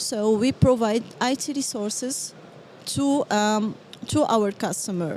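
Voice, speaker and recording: Very slowly, a woman with a slight French accent speaks at a fairly high pitch with ordinary pitch variation. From Morocco. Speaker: business development manager. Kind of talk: interview. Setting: live at a trade event. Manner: halting, many fillers.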